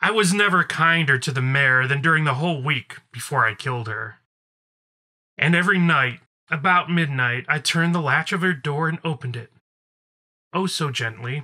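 In a put-on character voice pitched low-to-middle, the speaker moves at a moderate pace with long, frequent pauses. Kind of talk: gothic horror monologue. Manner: nervous, feverish, self-justifying.

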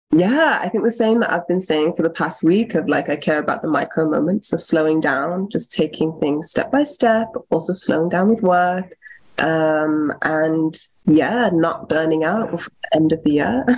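A plain, everyday voice speaks at a moderate pace with ordinary pitch variation. The loudness stays very even. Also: woman, fairly low pitch for a woman. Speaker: podcast producer and facilitator. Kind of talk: casual chat.

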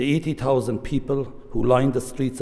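This man talks with an Irish accent at a moderate pace. His intonation stays fairly even. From Ireland. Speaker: government minister. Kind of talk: formal speech. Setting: stage with audience. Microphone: podium.

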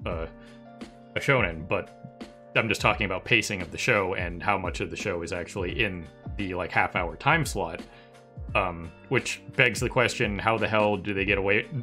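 A man's fairly low voice with ordinary pitch variation at a moderate pace, over faint music in the background. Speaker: anime discussion host. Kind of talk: casual discussion commentary. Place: home room. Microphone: headset.

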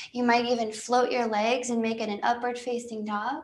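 A woman with a high pitch talks at a moderate pace, with ordinary pitch variation. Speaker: yoga instructor. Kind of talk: live-streamed guided yoga class, cueing poses and breath. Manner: warm, soothing, friendly with casual asides. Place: home room.

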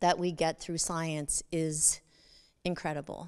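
The background is quiet. A woman talks in a fairly low pitch. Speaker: expo lecturer. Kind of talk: lecture. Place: stage. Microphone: handheld.

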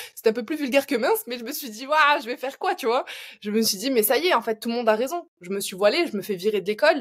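A woman at a high pitch and a very fast pace, with big swings in loudness over a quiet background. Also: lively intonation. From France. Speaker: learning designer and training entrepreneur; podcast guest, educator. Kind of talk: interview. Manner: hesitant, many fillers.

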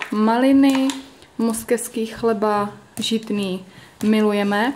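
A woman talks with ordinary pitch variation. Light background noise sits behind her. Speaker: vlogger. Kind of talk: casual vlog chat. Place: kitchen. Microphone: phone near.

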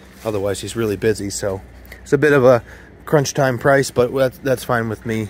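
With a plain, everyday voice, a man speaks at a fairly low pitch and ordinary pitch variation, the sound dry with no echo and light background noise. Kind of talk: casual vlog chat. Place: garden. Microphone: phone near.

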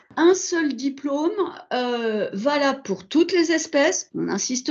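Very slow, lively speech against a quiet background. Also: woman. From Burgundy, France. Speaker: veterinary school administrator. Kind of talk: online presentation. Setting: video call. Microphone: video call.

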